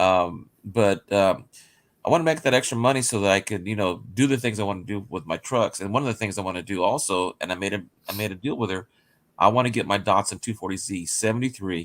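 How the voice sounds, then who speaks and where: On a very clean recording with a silent background, a man talks at a very fast pace in a fairly low pitch with ordinary pitch variation. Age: 60s. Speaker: teacher near retirement, car enthusiast. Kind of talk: casual chat. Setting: live stream. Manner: halting, many fillers.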